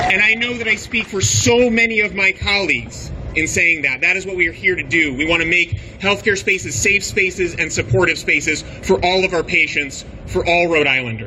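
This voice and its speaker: There is noticeable background noise behind a man. He talks at a fairly quick pace in a high pitch with lively intonation. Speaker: obstetrician speaking at rally. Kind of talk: rally speech. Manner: impassioned.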